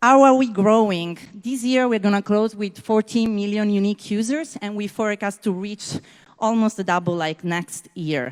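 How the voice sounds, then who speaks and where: Speaking at a moderate pace and medium pitch, a woman with an Italian accent uses ordinary pitch variation. Her recording is dry and close with no echo. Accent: non-native English, Italian. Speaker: startup founder. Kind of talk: sales pitch.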